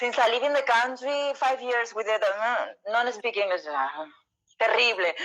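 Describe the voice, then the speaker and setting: Speaking with a Spanish accent, a woman uses a fairly high pitch and lively intonation at a moderate pace. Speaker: interview host. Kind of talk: casual interview. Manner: halting.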